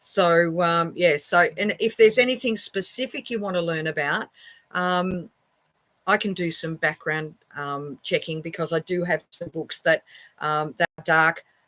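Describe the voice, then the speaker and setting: A woman with an Australian accent, fairly low in pitch with a bright, sharp tone, at a fairly slow pace with ordinary pitch variation and big swings in loudness, recorded dry and close with no echo. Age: 60s. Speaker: witchcraft teacher and shop owner. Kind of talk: casual live stream talk. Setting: home office. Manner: hesitant, many fillers.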